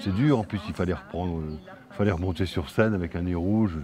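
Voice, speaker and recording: Over noticeable background noise, a man with a very deep, low voice speaks at a very fast pace. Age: 50s. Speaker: film director and actor. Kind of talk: interview. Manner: halting, repeats words.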